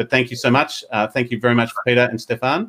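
Fairly quick speech from a man with an Australian accent. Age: 40s. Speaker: podcast host. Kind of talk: interview; news reading. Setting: video call. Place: home room. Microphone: earbuds.

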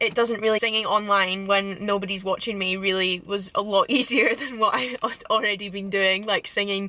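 A woman's voice comes through dry, with no echo. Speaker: vlogger. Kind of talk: casual vlog chat. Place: car. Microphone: phone near.

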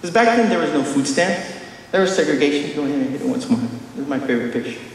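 A man's high-pitched voice with very wide pitch swings, in audible room echo. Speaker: conference speaker. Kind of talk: conference talk with stand-up style jokes. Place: hall. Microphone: camera far.

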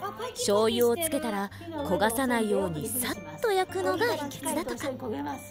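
The voice makes very wide pitch swings. Music plays in the background. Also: woman, high pitch for a woman, fairly slow pace. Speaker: voice actor. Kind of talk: travel vlog narration.

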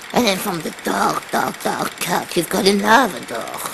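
A woman's very slow speech over noticeable background noise. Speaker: comedian. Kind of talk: comic bedtime story in an old-granny character voice. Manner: slow, rambling, halting, with repeated words and forgetful pauses. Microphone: webcam.

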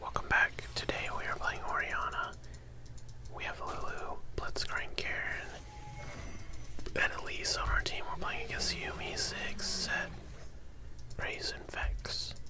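A man's fairly slow speech with long, frequent pauses over noticeable background noise. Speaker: gamer. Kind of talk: ASMR gaming commentary.

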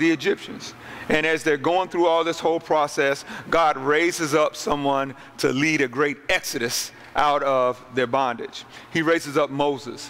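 Keeping his loudness very even and his intonation fairly even, a man speaks at a moderate pace. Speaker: pastor. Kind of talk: sermon. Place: hall. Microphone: handheld.

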